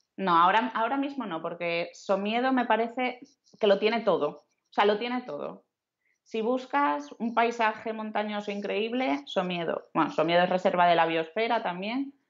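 In a normal speaking voice, a woman talks at a moderate pace with lively intonation. The background is quiet. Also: fairly high pitch for a woman. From western Asturias, Spain (Luarca). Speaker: travel blogger. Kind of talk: casual interview chat. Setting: remote call.

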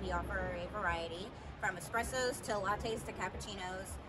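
A woman speaks at a moderate pace. Noticeable background noise can be heard. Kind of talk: interview answer. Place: street.

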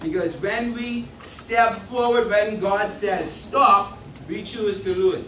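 A man with high pitch at a very slow pace, amid light background noise and audible room echo. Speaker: speaker. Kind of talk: sermon. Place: church.

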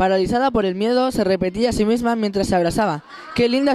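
Ordinary pitch variation shapes a natural reading voice here.

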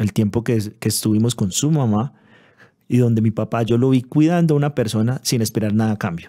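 Over a quiet background, a man with a medium pitch and a dark, mellow tone talks at a fairly quick pace with ordinary pitch variation. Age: 30s. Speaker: pastor. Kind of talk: interview testimony. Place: studio. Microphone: studio mic.

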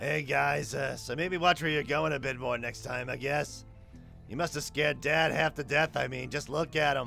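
Over clear background music, a man does a raspy, put-on character voice at a moderate pace. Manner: friendly yet aggravating.

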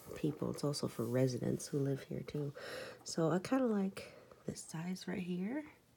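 A soft-spoken woman talks at a fairly slow pace. There is light background noise. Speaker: crafter. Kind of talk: casual talk to camera. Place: home room. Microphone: phone near.

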